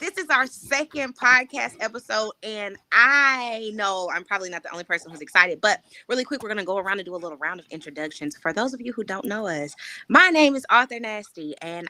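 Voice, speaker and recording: Woman's medium-pitched voice, bright and sharp in tone, fairly quick, with very wide pitch swings and big swings in loudness. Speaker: podcast host, editor and writing coach. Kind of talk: casual livestream podcast chat.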